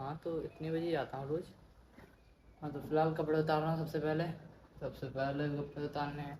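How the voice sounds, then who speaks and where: Somewhat breathy and dark, mellow in tone, a fairly high-pitched man speaks in a flat monotone at a moderate pace with long, frequent pauses. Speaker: vlogger. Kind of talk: casual vlog. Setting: outdoors on a rooftop.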